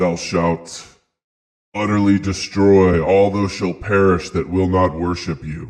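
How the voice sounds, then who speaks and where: The speaker uses a put-on character voice at a fairly slow pace. The background is quiet. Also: man. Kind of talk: archaic, biblical. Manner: commanding.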